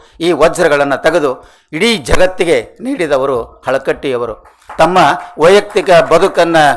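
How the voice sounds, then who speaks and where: With lively intonation, a man talks in a high-pitched voice. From northern Karnataka (Haveri district). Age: 60s. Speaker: retired college principal and scholar. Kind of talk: award acceptance speech. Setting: stage with audience. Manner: formal.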